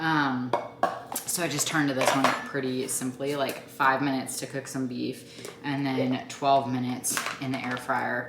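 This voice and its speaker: A woman speaks at a moderate pace in a very deep, low voice with monotone, flat intonation. Audible room echo and noticeable background noise fill the recording. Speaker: mom vlogger and fitness coach. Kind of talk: sales pitch; casual vlog chat. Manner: chatty, filler-heavy; quiet.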